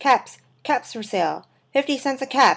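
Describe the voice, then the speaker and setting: Someone does a put-on character voice at a moderate pace with ordinary pitch variation. The recording is very clean and the background silent. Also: woman. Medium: read story. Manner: calling out, repetitive.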